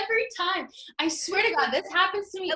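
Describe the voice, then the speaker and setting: A woman's raised, projected voice at an extremely high pitch with lively intonation. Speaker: podcast host. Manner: excitable, laughing.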